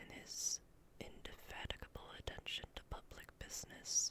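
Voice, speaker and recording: Noticeable background noise behind a whispering woman at a fairly slow pace. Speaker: ASMR content creator and vtuber. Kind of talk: whispered ASMR bedtime story reading of a classic novel. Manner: whispered, soft, slow.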